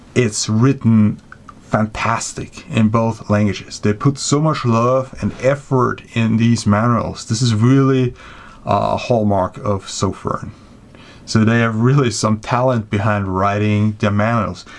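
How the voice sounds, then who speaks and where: A man with a German accent, medium pitch, fairly even intonation, very even loudness, and a fairly slow pace. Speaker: flashlight reviewer. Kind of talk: product review. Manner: casual, with hesitations.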